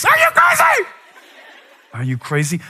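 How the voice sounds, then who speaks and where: A man puts on a character voice. His pace is moderate. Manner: scolding, incredulous.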